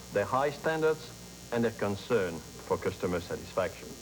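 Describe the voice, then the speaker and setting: Speaking at a fairly slow pace, a man with a fairly low pitch makes very wide pitch swings. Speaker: grocery chain vice president. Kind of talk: corporate interview answer. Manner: stilted.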